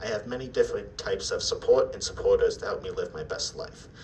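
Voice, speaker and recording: A man with an American accent talks at a fairly quick pace. Noticeable background noise runs behind him. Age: 20s. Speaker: self-advocate speaker. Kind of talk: presentation.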